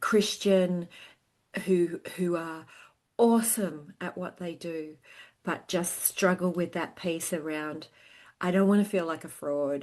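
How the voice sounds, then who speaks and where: A woman with an Australian accent, fairly low in pitch, at a very slow pace with long, frequent pauses, fairly even intonation, and a quiet background. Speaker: sales consultant. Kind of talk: casual interview chat. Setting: remote call, early morning. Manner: hesitant with fillers.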